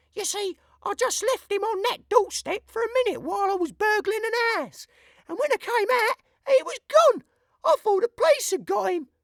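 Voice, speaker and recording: In a put-on character voice, a woman speaks at an extremely high pitch. Her intonation is lively and her pace moderate. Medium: read story. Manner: chatty, homely.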